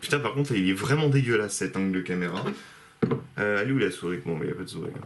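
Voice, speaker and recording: A man with a fairly low pitch, over noticeable background noise. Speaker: vlogger. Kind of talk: casual vlog.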